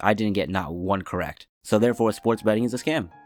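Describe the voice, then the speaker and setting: A man speaks at a very fast pace with fairly even intonation. Music plays in the background. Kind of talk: casual commentary video. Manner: casual, slangy.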